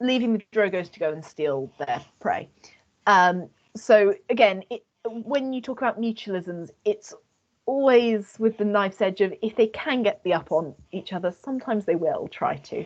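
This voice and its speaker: At a moderate pace, a woman speaks in a fairly high voice with lively intonation. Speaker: student society presenter. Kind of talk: lecture. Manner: halting.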